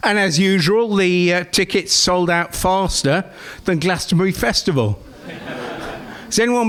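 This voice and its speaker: The speech moves at a moderate pace with ordinary pitch variation, over noticeable background noise. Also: man. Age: 60s. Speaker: comedian. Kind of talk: stand-up. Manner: halting.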